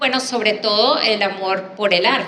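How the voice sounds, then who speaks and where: A woman's fairly slow speech comes with audible room echo and noticeable background noise. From Venezuela, Caracas. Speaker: artist and graphic designer. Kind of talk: panel talk, personal presentation.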